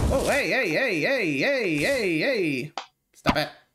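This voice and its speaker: A man at a very slow pace over noticeable background noise. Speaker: reaction youtuber. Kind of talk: casual reaction commentary. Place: home room.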